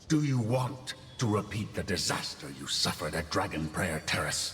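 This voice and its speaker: Over clear background noise, a man uses a put-on character voice, fairly low in pitch, at a moderate pace. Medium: game stream. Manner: scornful, commanding, taunting.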